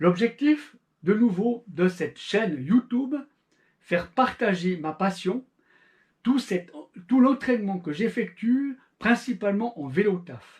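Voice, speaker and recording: Speaking with a Swiss accent, a man uses a high pitch and lively intonation at a very slow pace, with long, frequent pauses. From Switzerland. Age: 40s. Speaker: amateur endurance cyclist, YouTuber. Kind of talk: channel introduction monologue.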